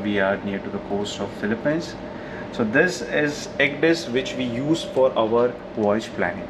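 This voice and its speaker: A man speaks at a moderate pace with ordinary pitch variation. Noticeable background noise can be heard behind him. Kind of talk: tour explanation vlog. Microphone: phone near.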